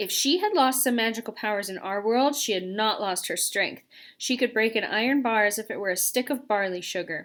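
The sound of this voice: A reading voice, unforced, its pitch varying in an ordinary way.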